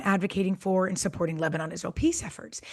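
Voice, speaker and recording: A woman speaks in a somewhat breathy voice. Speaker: podcast co-host; former government official, peace advocate. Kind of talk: podcast discussion.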